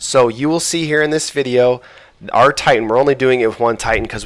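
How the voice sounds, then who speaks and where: A man with a medium-pitched voice talks at a fairly quick pace. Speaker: gaming walkthrough narrator. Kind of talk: tutorial. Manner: fast; casual.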